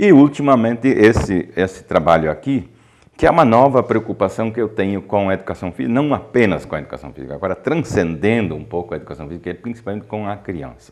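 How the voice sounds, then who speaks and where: A man with a fairly low, fry-roughened voice talks at a very fast clip, his pitch swinging very widely and his loudness rising and falling sharply. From southern Brazil, Ijuí (Rio Grande do Sul). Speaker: professor and researcher in physical education. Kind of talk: interview. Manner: halting, with many fillers.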